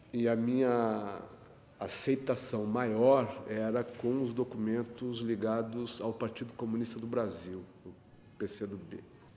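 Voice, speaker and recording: Speaking very slowly, a man holds a medium pitch in a dark, mellow tone, his intonation monotone and flat while his loudness swings widely. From Rio Grande, Rio Grande do Sul, Brazil. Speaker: photographer and union activist. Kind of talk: interview answer.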